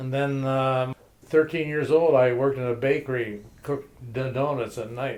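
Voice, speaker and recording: This man talks at a moderate pace with a Detroit accent. His pitch sits in the medium range, and his intonation stays fairly even. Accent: Midwestern American (Detroit). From Detroit, US Midwest. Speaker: grandfather telling his life story. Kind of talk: oral history interview. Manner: halting, with many fillers.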